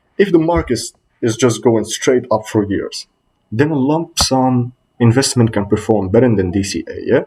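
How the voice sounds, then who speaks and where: Somewhat breathy and dark, mellow in tone, a man with a non-native accent speaks with lively intonation. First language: not English. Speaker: student presenter. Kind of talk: class presentation. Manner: slightly halting.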